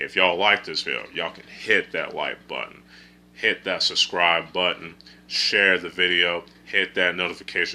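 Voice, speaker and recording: His loudness rising and falling sharply, a man talks at a moderate speed. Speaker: film reviewer. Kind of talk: casual video review. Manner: halting, self-correcting.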